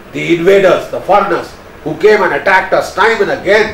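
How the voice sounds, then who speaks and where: A man speaks over noticeable background noise. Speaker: retired army major general and strategic analyst. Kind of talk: motivational address to youth, speech to camera. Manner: earnest, forceful, emphatic.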